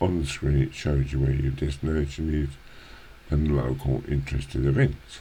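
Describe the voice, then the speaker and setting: Against noticeable background noise, a man speaks in a very deep, low voice with monotone, flat intonation. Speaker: gaming youtuber. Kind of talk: let's play commentary. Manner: halting, many fillers.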